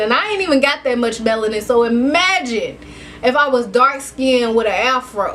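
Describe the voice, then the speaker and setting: Noticeable background noise surrounds a woman's high-pitched voice. She talks at a moderate pace. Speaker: vlogger. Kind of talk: casual vlog monologue. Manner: animated.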